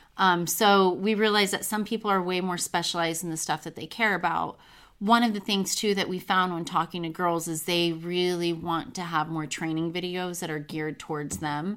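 A woman's plain, everyday voice, fairly low in pitch, at a moderate pace with hardly any pauses and fairly even intonation, on a very clean recording with a silent background. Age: 20s. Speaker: former pro golfer and sports journalist. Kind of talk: interview. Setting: studio.

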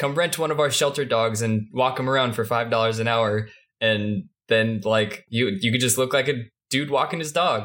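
A plain, everyday voice from a man at medium pitch, with a moderate pace and very even loudness. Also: ordinary pitch variation. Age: 20s. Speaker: podcast co-host. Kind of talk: casual chat.

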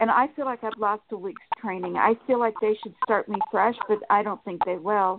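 A woman with a plain, everyday voice, fairly high in pitch, with fairly even intonation at a moderate pace. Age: 60s. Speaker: caller. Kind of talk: phone call-in asking for a reading.

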